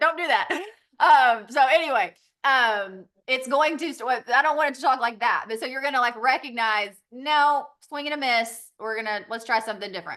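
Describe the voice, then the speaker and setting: A woman with a Southern accent talks in a high, bright, sharp voice. Her pitch swings very widely at a moderate pace. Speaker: direct sales business owner. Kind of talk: training call presentation. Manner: casual, filler-heavy.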